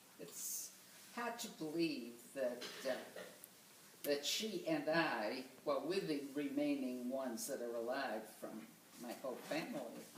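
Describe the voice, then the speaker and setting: A woman with an American accent speaks with a very deep, low pitch and very wide pitch swings, at a fairly slow pace with long, frequent pauses. Noticeable background noise and audible room echo fill the recording. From Boston, Massachusetts. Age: 90s. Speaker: grandmother interviewed for oral history. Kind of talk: oral history interview.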